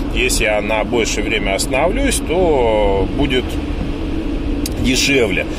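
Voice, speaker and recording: Loud background noise surrounds a man speaking at a very slow pace. The sound is dry, with no echo. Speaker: travel vlogger. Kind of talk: casual talk to camera. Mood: relaxed, chatty. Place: car. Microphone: phone near.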